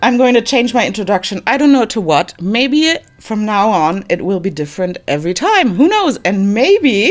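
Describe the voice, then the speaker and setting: With a non-native accent, a woman speaks at a moderate pace in a fairly high pitch, her voice making very wide pitch swings. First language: not English. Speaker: gaming YouTuber. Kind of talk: voiceover commentary. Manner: halting, many fillers.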